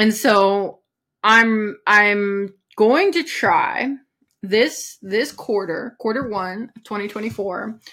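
Her voice has a bright, sharp tone, with a woman speaking at a fairly high pitch. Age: 30s. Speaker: podcast host, philosophy coach for abuse survivors. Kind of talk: solo podcast monologue. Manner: casual with many filler words.

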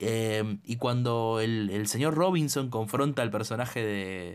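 A Rioplatense accent carries lively intonation. The recording is very clean, with a silent background. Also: man. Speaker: podcast co-host, film critic. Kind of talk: casual chat.

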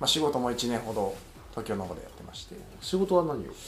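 A man's fairly quick speech with very wide pitch swings, amid noticeable background noise and audible room echo. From Fukui Prefecture, Japan. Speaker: podcast co-host, writer. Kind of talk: casual chat.

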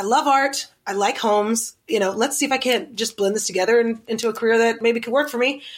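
With an American accent, a plain, everyday voice speaks at a fairly quick pace with lively intonation in a very clean recording with a silent background. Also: woman. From US South, Oklahoma City. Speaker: interior designer and TV personality. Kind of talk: casual interview.

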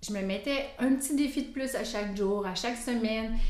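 Recorded with noticeable background noise and audible room echo, a woman speaks with a fairly high pitch. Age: 50s. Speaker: cancer survivor, app member. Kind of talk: casual interview.

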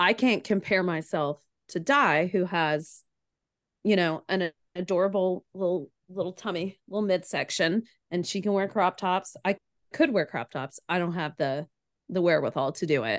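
A woman with an American accent uses a normal speaking voice at medium pitch, a moderate pace and ordinary pitch variation. The sound is dry and close with no echo, against a quiet background. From Chattanooga, Tennessee, US South. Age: 30s. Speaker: podcaster, former Ironman triathlete. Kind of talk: casual interview chat.

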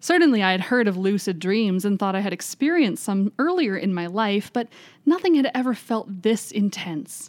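A woman with an unremarkable speaking voice talks at a moderate pace in a medium pitch. Her intonation is lively, and the recording is very clean with a silent background. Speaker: library podcast host. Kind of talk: reading aloud a first-person ghost story, told in the narrator's words.

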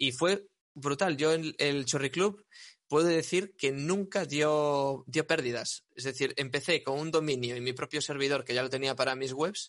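A normal speaking voice at a fairly slow pace, with ordinary pitch variation against a quiet background. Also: man, fairly high pitch for a man. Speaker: web developer and SEO entrepreneur. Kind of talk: casual interview chat.

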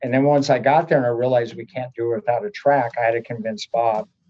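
A man's plain, everyday voice at a medium pitch, with an American accent, a fairly quick pace and ordinary pitch variation. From US Pacific Northwest (Oregon). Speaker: college track and field coach. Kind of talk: casual interview.

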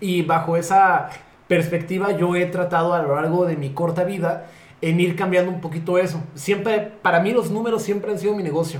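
With a Mexican accent, a man talks fairly quickly in a high voice with fairly even intonation, amid noticeable background noise and audible room echo. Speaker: podcast co-host, theatre producer. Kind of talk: casual chat.

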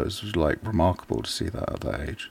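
With an English accent, this man speaks with vocal fry and ordinary pitch variation. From England. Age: 40s. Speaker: artist. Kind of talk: casual chat.

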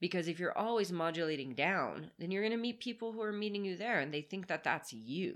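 Speaking at a fairly quick pace, a woman with an American accent has a plain, everyday voice, medium pitch, and lively intonation. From US South, Marietta, Georgia (suburb of Atlanta). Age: 30s. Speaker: author and spiritual guide. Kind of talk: casual chat. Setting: sitting on a bed at home.

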